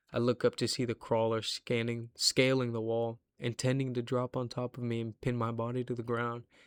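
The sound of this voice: Text voiced in an unforced reading voice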